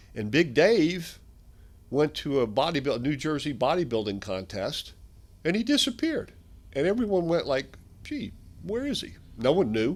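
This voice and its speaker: A man with an American accent speaks at a moderate pace and a fairly high pitch, with vocal fry and very wide pitch swings. Long, frequent pauses break up his speech in a very clean recording with a silent background. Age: 60s. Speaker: strength equipment company founder. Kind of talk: interview.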